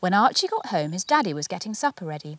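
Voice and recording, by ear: A woman speaks with big pitch swings. The sound is dry and close, with no echo.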